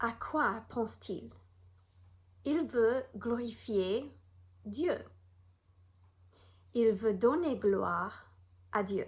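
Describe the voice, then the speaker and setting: A woman's fairly high voice with an American accent, at a very slow pace with long, frequent pauses, ordinary pitch variation and big swings in loudness. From United States. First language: English (speaking French). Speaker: Bible teacher. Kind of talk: Bible lesson; reading aloud.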